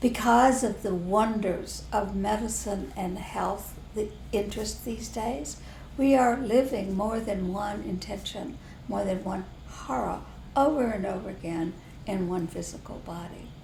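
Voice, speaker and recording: In a room with audible echo and noticeable background noise, a woman with a Southern US accent talks at a fairly slow pace and medium pitch, with ordinary pitch variation. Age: old. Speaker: spiritual teacher. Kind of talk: casual chat.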